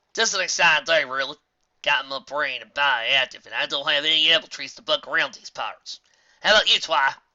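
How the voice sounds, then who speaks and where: A man puts on a character voice in a Southern US accent as part of the act, fairly high in pitch and at a fairly quick pace. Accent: Southern country. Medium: read story. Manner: blunt, folksy.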